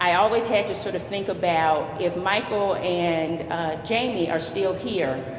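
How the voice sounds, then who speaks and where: A woman talks with fairly even intonation. Noticeable background noise and audible room echo fill the recording. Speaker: youth club director. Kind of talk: ceremony speech. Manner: halting.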